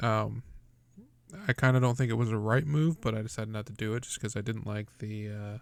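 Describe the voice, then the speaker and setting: A man's unremarkable speaking voice, medium in pitch, fairly quick and fairly even in intonation, in a very clean recording with a silent background. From Texas. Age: 20s. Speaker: podcast host. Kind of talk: casual chat. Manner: casual, swears freely.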